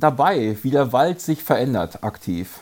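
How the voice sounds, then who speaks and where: A man's voice has a dark, mellow tone. His intonation is lively. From Germany, Paderborn. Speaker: mountain bike racer and race series organizer. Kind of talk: casual chat.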